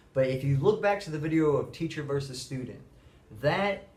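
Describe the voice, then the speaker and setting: The speech moves at a fairly quick pace, somewhat breathy, with ordinary pitch variation. Audible room echo surrounds the voice. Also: man. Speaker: middle school teacher. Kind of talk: monologue to camera. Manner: fast.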